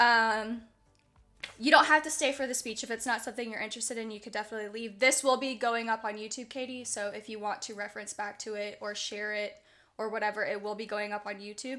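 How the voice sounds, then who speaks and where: Fairly high-pitched and animated, a woman talks very fast in a bright, sharp tone with big swings in loudness. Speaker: streamer and podcast host. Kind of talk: casual livestream interview. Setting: livestream with voice chat.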